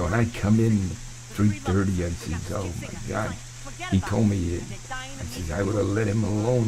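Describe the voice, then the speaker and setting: Noticeable background noise under fairly slow speech with ordinary pitch variation. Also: man. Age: old. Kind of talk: casual storytelling to camera. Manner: rambling, conversational.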